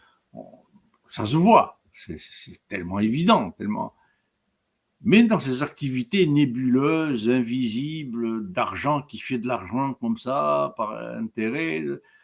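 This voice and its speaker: Speaking at a very slow pace, a man of medium pitch uses very wide pitch swings and big swings in loudness. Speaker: professor. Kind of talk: lecture. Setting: webinar. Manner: halting.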